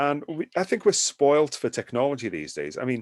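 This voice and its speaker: A man with a British accent and fairly high pitch speaks with lively intonation, the sound dry and close with no echo. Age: 60s. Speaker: horror and sci-fi film magazine writer. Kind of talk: casual interview conversation.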